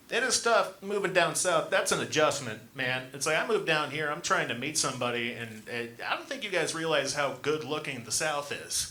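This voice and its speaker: Over noticeable background noise and audible room echo, a man with an American accent speaks with hardly any pauses, a fairly high pitch and lively intonation. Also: moderate pace. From Montana, US. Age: 20s. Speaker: stand-up comedian. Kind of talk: stand-up. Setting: stage with audience.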